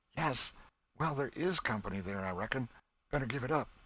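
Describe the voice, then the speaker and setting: A put-on character voice, raspy and nervous in tone, rattles along at a fairly quick pace with lively intonation. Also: man, medium pitch for a man. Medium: read story. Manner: hesitant, nervous.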